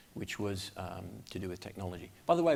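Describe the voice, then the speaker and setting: A man's intonation rises and falls in a lively way as he talks at a fairly quick pace. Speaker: aircraft manufacturer pilot representative, conference panelist. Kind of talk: conference presentation. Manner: fast.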